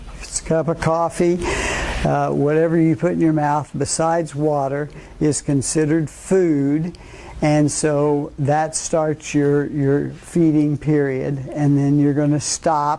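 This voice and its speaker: A fairly high-pitched man's voice, fairly slow and monotone, with flat intonation and noticeable background noise. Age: 80s+. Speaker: physician. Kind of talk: lecture. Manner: halting, many fillers.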